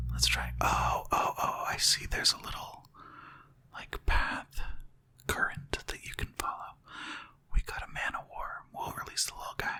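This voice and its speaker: Whispered speech at a moderate pace comes with long, frequent pauses and noticeable background noise. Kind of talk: relaxed gaming commentary, let's play.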